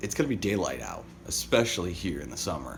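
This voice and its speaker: A man talks at a very fast pace with vocal fry. Room echo is audible. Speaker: daily vlogger. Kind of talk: casual vlog monologue.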